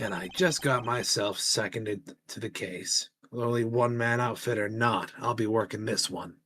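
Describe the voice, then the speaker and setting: A put-on character voice from a man, raspy and medium-pitched, with hardly any pauses. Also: moderate pace. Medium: game stream. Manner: blunt, self-assured.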